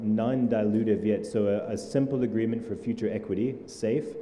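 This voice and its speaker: There is audible room echo and noticeable background noise as a man of medium pitch speaks at a moderate pace. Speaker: startup ecosystem leader. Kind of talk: panel discussion.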